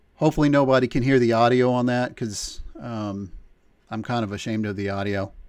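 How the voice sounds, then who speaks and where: A man speaks at a medium pitch with ordinary pitch variation against a quiet background. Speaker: transport company livestream host. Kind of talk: livestream tutorial. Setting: live stream. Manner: hesitant, many fillers; calm, teacherly. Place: home room.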